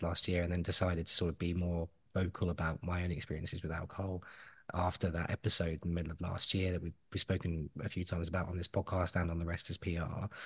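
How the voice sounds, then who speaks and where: The voice is somewhat breathy and moves at a very fast pace. The background is quiet. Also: man. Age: 30s. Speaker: podcast host. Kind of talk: casual chat. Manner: animated.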